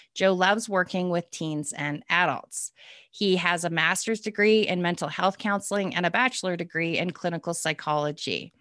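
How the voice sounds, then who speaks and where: With a bright, sharp tone, a woman speaks at a fairly low pitch with fairly even intonation. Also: moderate pace, quiet background. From Calgary, Canada. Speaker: podcast host. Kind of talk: interview, casual conversation.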